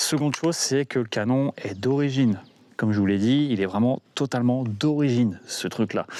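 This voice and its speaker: A man speaks at a medium pitch with a dark, mellow tone. The sound is dry and close with no echo, at a moderate pace with ordinary pitch variation. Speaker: firearms collector and video maker. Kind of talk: casual video review outro. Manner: casual, hesitant with fillers.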